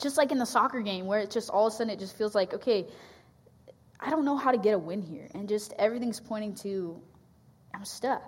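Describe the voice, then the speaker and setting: With long, frequent pauses, a woman talks at a fairly quick pace and a fairly high pitch, using ordinary pitch variation. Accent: West Coast. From US Pacific Northwest. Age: 20s. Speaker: campus ministry staff. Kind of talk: sermon. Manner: hesitant, many fillers.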